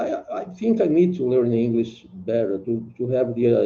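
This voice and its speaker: A man speaks with a Brazilian Portuguese accent. His pace is fairly slow. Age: 70s. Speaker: retired singer, English learner. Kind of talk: language lesson conversation. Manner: halting.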